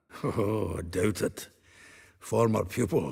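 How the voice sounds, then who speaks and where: A man puts on a raspy character voice, fairly low in pitch. He talks at a fairly slow pace. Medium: video game. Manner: chuckling, wry, conversational.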